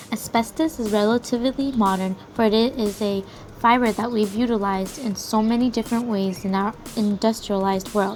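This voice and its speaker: With fairly even intonation, a woman speaks at a fairly quick pace while music plays in the background. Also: fairly high pitch for a woman. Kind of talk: class presentation.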